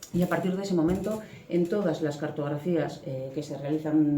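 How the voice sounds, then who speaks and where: A woman with a very deep, low pitch speaks at a moderate pace with fairly even intonation. Audible room echo and noticeable background noise come through. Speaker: archaeologist. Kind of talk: lecture.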